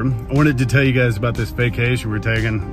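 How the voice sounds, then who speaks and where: A man rattles off his words very fast in a dry sound with no echo while clear music plays behind him. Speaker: delivery gig driver vlogger. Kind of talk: casual vlog chat. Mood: upbeat, excited. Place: car. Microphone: phone near.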